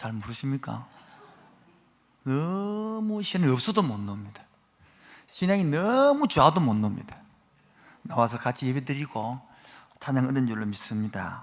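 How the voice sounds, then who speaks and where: A man's medium-pitched voice at a moderate pace, with very wide pitch swings and long, frequent pauses. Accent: Gyeongsang. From Gyeongsang region, Korea. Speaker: guest preacher. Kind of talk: sermon. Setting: church. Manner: animated.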